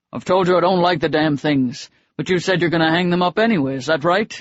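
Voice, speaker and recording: A man puts on a gruff character voice, pitched high for a man, talking at a very fast pace with ordinary pitch variation. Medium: read story. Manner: blunt, gruff.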